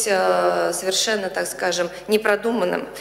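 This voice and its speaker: A woman talks fairly slowly in a room with audible echo. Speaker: professor, official opponent; professor. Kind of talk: formal academic review. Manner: formal. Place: hall.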